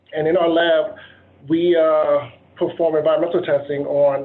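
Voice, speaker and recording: Noticeable background noise surrounds a man with an American accent and a fairly high pitch. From Virginia, Dinwiddie County. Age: 30s. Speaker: engineer. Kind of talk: presentation. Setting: video call.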